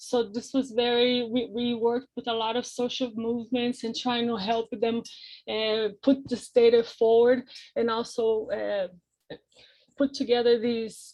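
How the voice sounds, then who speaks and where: With a dark, mellow tone and fairly high pitch, a woman speaks at a fairly slow pace in a monotone, flat delivery. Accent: non-native. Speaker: researcher. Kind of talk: academic presentation. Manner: halting.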